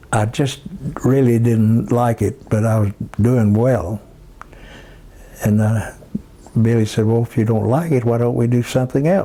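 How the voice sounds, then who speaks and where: With an Oklahoma accent, the speaker keeps a moderate pace, very even loudness, and fairly even intonation over noticeable background noise. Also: man, medium pitch for a man. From southwestern Oklahoma. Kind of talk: life story interview. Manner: halting.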